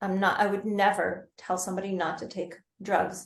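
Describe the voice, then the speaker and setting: A somewhat breathy woman's voice, medium in pitch, at a moderate pace. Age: 60s. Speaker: yoga therapist and Ayurveda practitioner. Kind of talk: podcast interview. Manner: conversational, hesitant fillers.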